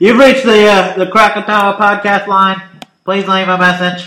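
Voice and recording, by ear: A man's nasal, high-pitched put-on character voice, raised and projected, at a moderate pace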